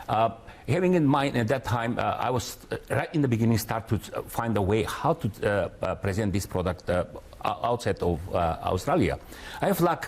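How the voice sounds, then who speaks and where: At a moderate pace, a man of medium pitch with a Macedonian accent speaks with very wide pitch swings. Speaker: company founder and director. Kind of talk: TV interview. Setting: studio. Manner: halting, many fillers.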